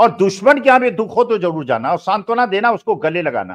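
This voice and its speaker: With lively intonation and a high pitch, a man speaks at a moderate pace against a quiet background. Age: 70s. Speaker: political commentator. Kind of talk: political discussion. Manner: animated. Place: home room. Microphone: earbuds.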